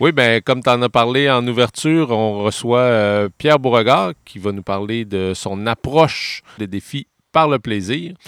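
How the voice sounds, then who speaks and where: A man with a normal speaking voice talks at a fairly slow pace, medium in pitch with ordinary variation, recorded dry and close with no echo, very clean over a silent background. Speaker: adventurer, podcast co-host. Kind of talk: podcast conversation. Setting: outdoor studio.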